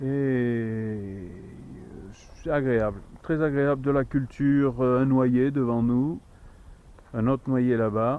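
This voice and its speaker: A man at medium pitch with a very slow pace, long, frequent pauses and very even loudness. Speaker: hiker filming a travel vlog. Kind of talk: casual walking vlog narration. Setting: outdoors on a hiking trail. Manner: soft-spoken.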